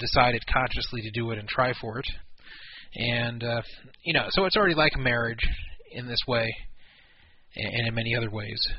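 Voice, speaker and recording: A fairly quick male speaker with medium pitch and fairly even intonation. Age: 40s. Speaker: poker radio show host. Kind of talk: casual talk radio chat.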